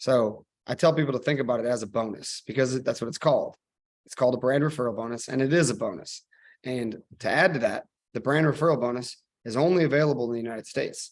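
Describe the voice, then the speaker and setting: A man talks very fast with an American accent. His pitch sits in the medium range. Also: ordinary pitch variation. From US Midwest, Missouri. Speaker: e-commerce marketing expert. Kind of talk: webinar presentation.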